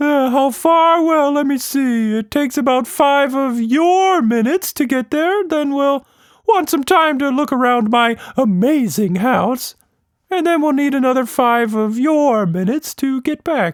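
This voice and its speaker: Using a put-on character voice at an extremely high pitch, a man speaks at a moderate pace in a very clean recording with a silent background. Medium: read story.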